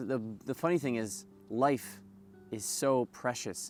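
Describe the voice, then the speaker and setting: Over music in the background, a man speaks with ordinary pitch variation. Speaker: vlogger sharing personal stories; yeshiva student. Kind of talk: personal storytelling monologue. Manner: fast.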